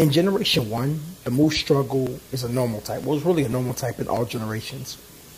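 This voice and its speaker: Talking at a very fast pace, a man with a medium-pitched voice sounds animated and uses ordinary pitch variation over noticeable background noise. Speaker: gaming YouTuber. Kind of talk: gameplay commentary. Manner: halting, stumbling over words; casual, animated.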